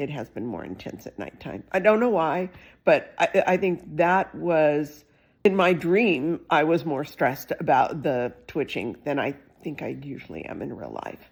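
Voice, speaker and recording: Over a silent background on a very clean recording, a woman talks fairly slowly in a very deep, low voice with vocal fry, lively intonation and big swings in loudness. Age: 60s. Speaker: patient video blogger. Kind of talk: personal vlog update. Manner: casual, conversational with fillers.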